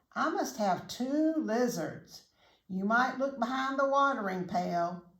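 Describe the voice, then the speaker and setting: A woman puts on a character voice at a high pitch. She speaks at a fairly slow pace. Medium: read story. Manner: kind, motherly.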